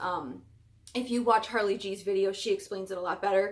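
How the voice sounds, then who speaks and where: A woman talks with a fairly high pitch. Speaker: plant YouTuber; plant hobbyist vlogger. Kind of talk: casual vlog show-and-tell. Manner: fast. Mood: relaxed, chatty. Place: home room. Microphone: webcam.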